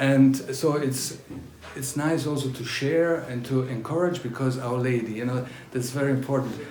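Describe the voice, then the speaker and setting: A man with a German accent speaks at a medium pitch and moderate pace, with fairly even intonation, amid noticeable background noise and audible room echo. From northern Italy, near Austria (German-speaking). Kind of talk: testimony. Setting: talk to a pilgrim group. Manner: halting, with frequent fillers.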